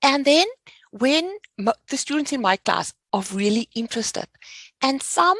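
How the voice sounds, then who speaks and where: In a South African accent, a woman speaks at a fairly slow pace with lively intonation, the sound dry and close with no echo. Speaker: finance educator. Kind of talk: podcast interview.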